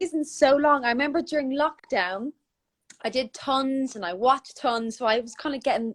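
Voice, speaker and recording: A high-pitched woman with a strong Irish accent talks at a moderate pace, the sound dry and close with no echo. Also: ordinary pitch variation. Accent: thick Irish. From Ireland, Dublin. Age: 20s. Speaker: wig business founder. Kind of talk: casual interview.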